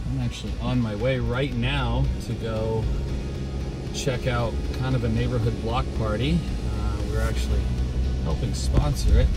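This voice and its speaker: Clear music plays behind a man who speaks at a moderate pace with long, frequent pauses. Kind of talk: casual tour commentary. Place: car. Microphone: phone near.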